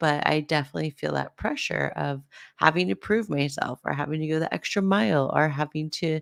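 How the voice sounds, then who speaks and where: A soft-spoken woman with a very deep, low pitch talks at a moderate pace. The recording is very clean, with a silent background. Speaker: podcast host, spiritual guide. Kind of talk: podcast monologue. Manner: halting.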